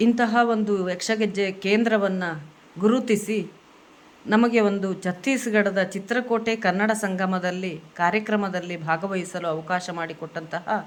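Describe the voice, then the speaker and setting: Fairly even intonation in a Kannada accent. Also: woman. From Karnataka, India. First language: Kannada (speaking Hindi). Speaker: Yakshagana dance teacher. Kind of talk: video message.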